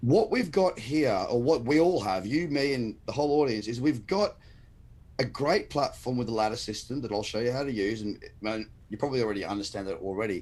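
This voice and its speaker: A man with an Australian accent, medium pitch and lively intonation at a fairly quick pace on a very clean recording with a silent background. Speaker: crypto trader and trading educator. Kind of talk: casual live-stream interview. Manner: passionate, emphatic.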